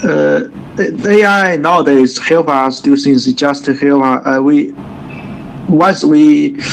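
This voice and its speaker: Someone with a Chinese accent speaks at a very slow pace with long, frequent pauses, against noticeable background noise. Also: man. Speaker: English student. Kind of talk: online English lesson. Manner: halting.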